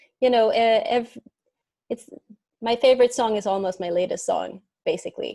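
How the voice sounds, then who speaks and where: Here a woman speaks with a Swedish accent in a dark, mellow tone. The recording is very clean with a silent background. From Sweden. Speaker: singer-songwriter. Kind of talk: interview.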